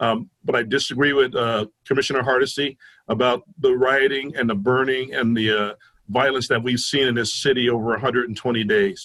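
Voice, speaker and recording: Fairly even intonation in a man's medium-pitched speech. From New Jersey (Newark). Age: 60s. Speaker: police union leader. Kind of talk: public debate forum. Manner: hesitant, many fillers.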